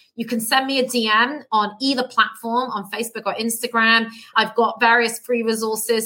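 A woman speaks with a British accent and a fairly high pitch. Her tone is bright and sharp, and her intonation fairly even. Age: 30s. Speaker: plant-based health coach. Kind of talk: casual interview. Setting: remote call.

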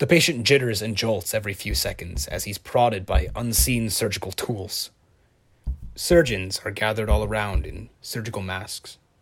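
This man's fairly low voice carries vocal fry and lively intonation at a moderate pace. His loudness swings widely on a very clean recording with a silent background. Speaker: fiction podcast narrator playing a detective. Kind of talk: horror story narration, first-person scripted audio drama.

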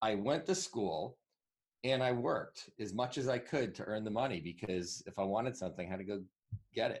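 This is a plain, everyday voice with an American accent. It moves at a fairly quick pace with lively intonation. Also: man, medium pitch for a man. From Northwest New Jersey, US. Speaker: digital marketing entrepreneur. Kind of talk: interview.

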